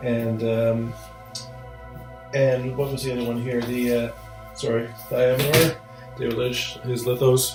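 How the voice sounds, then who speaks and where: Music plays in the background as a man mumbles at a fairly slow pace. His medium-pitched voice stays monotone, with flat intonation. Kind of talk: casual talk to camera. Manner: mumbly, hesitant.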